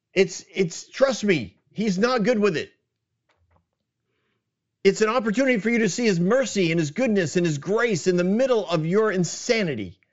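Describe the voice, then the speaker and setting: A strained, put-on character voice from a man, high-pitched, with lively intonation at a moderate pace. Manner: strained, worked up.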